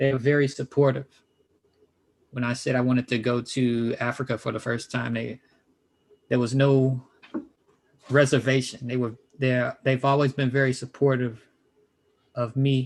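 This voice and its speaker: With an American accent, the speaker keeps a monotone, flat intonation at a moderate pace. Long, frequent pauses break up the speech. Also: man, medium pitch for a man. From US Midwest, South Side of Chicago. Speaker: professor. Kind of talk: interview. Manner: hesitant, many fillers.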